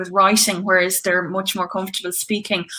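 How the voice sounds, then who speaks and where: A woman speaks with an Irish accent. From Ireland, County Tipperary. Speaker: singer-songwriter. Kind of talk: casual chat.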